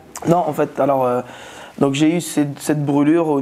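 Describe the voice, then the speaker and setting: Fairly high in pitch, this man speaks with fairly even intonation. He keeps up a fairly quick pace. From Tunis and Aubervilliers (Paris suburbs). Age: 20s. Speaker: magician and comedian. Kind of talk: interview testimony. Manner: hesitant, many fillers.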